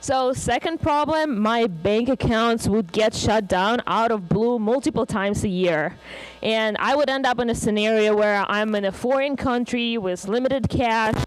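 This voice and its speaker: With a Russian accent, a woman speaks in a fairly high pitch at a moderate pace, with ordinary pitch variation, very even loudness and hardly any pauses. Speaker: conference speaker. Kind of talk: conference talk. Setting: stage with audience.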